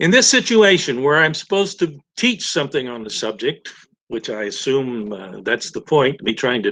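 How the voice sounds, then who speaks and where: A man speaks in a Texan accent. His tone is bright and sharp. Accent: Texan American English. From Texas. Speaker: chemist giving a guest talk. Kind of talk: lecture. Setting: webinar video call. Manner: halting, many fillers and restarts.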